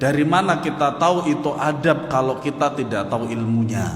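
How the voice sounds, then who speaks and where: A man speaks loudly at a moderate pace, with audible room echo and noticeable background noise. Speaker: Islamic religious teacher. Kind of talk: religious lecture.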